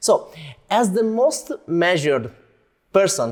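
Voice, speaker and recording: A man with an Italian accent speaks at a fairly slow pace, his pitch swinging very widely. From Italy. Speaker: interviewer. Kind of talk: interview. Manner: halting.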